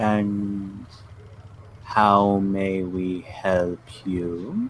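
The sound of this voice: Over clear background noise, a man uses a put-on character voice, fairly low in pitch and monotone, with flat intonation.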